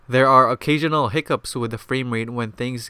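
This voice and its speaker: Heard on a very clean recording with a silent background, a man speaks in a bright, sharp tone. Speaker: video game reviewer. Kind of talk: game review narration. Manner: stuttering.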